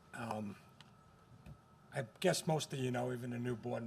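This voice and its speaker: At a moderate pace, a man speaks in a medium-pitched voice with vocal fry and fairly even intonation. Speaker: school district facilities staff. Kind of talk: board meeting presentation. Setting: school board meeting. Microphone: too quiet at first, moved closer to mic.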